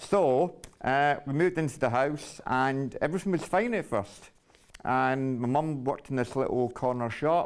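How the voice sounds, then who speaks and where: A man speaks in a fairly high voice with a Glasgow accent. His loudness stays very even at a moderate pace. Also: ordinary pitch variation. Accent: Scottish, Glasgow. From Scotland, Glasgow. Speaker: storyteller sharing life story. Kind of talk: personal testimony. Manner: halting.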